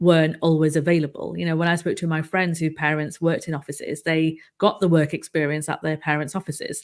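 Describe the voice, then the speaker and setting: A woman talks in a monotone, flat intonation. The recording is very clean, with a silent background. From northern England, Manchester. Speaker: livestream show host, communications consultancy founder. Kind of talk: live interview chat.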